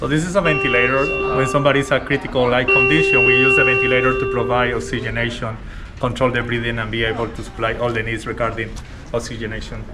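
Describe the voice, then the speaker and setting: A man with a strong Colombian accent talks very fast at a medium pitch with ordinary pitch variation. Music plays in the background, and room echo is audible. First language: Spanish. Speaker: respiratory therapist. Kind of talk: workplace interview.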